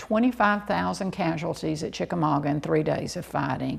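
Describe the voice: A woman speaks at a moderate pace with low pitch and vocal fry. Her pitch varies in an ordinary way.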